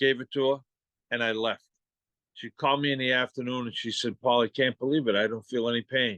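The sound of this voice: Fairly bright and quick, in a Boston accent, with fairly even intonation and a dry, close sound with no echo. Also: man, medium pitch for a man.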